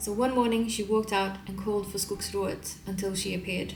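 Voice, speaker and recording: A woman talks in a Swedish accent at a moderate pace. Music plays in the background. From Sweden. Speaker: illustrator. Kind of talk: folk tale reading.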